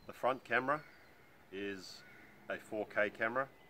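Over light background noise, a man speaks at a fairly low pitch with ordinary pitch variation. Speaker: motorcycle rider reviewing gear. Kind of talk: product review talk. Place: forest.

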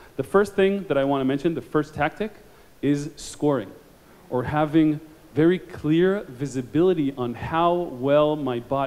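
This man has a fairly high pitch with ordinary pitch variation. His tone is slightly mellow, and his pace is moderate.

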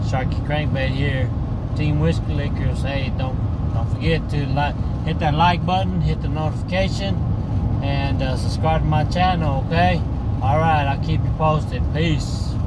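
Loud background noise fills the recording. A man speaks over it at a moderate pace. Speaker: fishing vlogger. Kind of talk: casual vlog chat. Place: car. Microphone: phone near.

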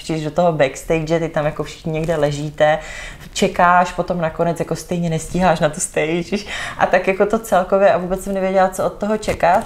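A woman with a fairly low voice talks at a fairly quick pace with fairly even intonation. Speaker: podcast guest. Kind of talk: interview answer. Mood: warm, fond recollection. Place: home room.

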